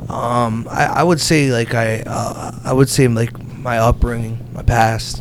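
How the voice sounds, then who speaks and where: With an American accent, a man talks at a fairly slow pace and medium pitch. His intonation is fairly even, and there is noticeable background noise. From New Jersey. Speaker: business lending broker. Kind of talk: casual interview chat. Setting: in person, Hamilton, New Jersey.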